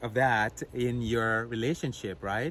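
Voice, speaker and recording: A man with a non-native accent talks at a fairly slow pace in a medium-pitched voice. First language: not English. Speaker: married couple video host. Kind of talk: casual advice chat.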